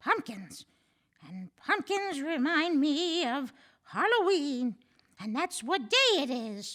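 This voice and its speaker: Putting on a character voice, a woman speaks very slowly in a raised, projected, high voice, with very wide pitch swings and big swings in loudness. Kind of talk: old lady voice. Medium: read story.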